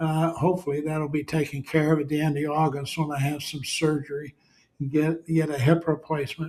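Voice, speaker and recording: A man with a fairly high pitch speaks at a fairly quick pace in a somewhat breathy voice with monotone, flat intonation. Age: 80s+. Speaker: leadership consultant. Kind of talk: casual monologue. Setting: late at night at home. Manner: halting, many fillers.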